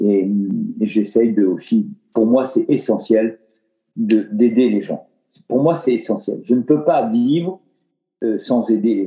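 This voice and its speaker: A man with a medium pitch speaks at a very slow pace, leaving long, frequent pauses. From France, Dordogne and Limoges. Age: 60s. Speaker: retired philanthropist. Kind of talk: casual interview.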